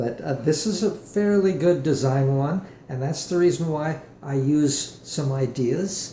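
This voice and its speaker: Speaking at a fairly slow pace, a man uses a fairly high pitch with ordinary pitch variation. There is audible room echo. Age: 70s. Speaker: guitar maker and musician demonstrating his product. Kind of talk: product demonstration tutorial. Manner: halting, many fillers and restarts.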